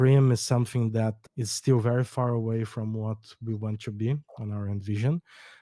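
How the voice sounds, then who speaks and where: A man with a Brazilian accent speaks at a moderate pace in a medium pitch, his tone dark and mellow and his intonation flat and monotone, on a very clean, silent recording with dry, close sound and no echo. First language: Portuguese. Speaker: startup co-founder. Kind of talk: podcast interview. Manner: hesitant, with false starts.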